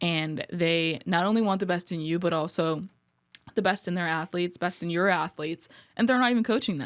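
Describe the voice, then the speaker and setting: A woman speaks with a New Jersey accent at a fairly quick pace and a fairly low pitch. The recording is very clean, with a silent background. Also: ordinary pitch variation. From New Jersey (Colonia). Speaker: sports performance coach. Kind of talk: casual podcast interview. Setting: podcast studio.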